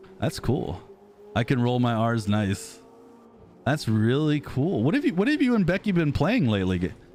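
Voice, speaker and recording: A man with an American accent at a moderate pace, medium in pitch with very wide pitch swings, very even in loudness, over music in the background. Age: 30s. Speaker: gaming streamer. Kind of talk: casual chat. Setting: live stream. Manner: animated.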